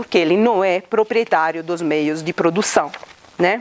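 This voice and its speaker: Delivered at a moderate pace, the speech comes with noticeable background noise. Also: woman. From Italy. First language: Italian (speaking Portuguese). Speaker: law professor. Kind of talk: lecture. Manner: interactive, many hesitations and tag questions.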